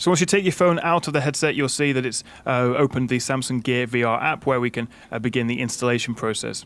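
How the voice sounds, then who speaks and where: Speaking very fast, a man with a British accent keeps to a medium pitch. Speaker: tech reviewer. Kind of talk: tutorial. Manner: casual, frequent fillers.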